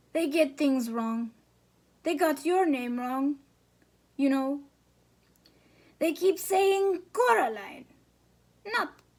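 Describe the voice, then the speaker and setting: A woman's put-on character voice, very wide pitch swings, fairly slow pace. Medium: read story. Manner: odd, cryptic.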